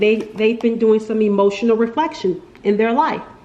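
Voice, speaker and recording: There is noticeable background noise as a woman speaks at a fairly high pitch with ordinary pitch variation. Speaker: tarot reader. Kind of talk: tarot reading monologue. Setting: at home, window open. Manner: casual, filler-heavy; animated, got loud then quieter.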